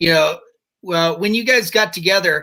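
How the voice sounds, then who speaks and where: A man's voice with a bright, sharp tone. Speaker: podcast host. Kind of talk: casual talk show host banter.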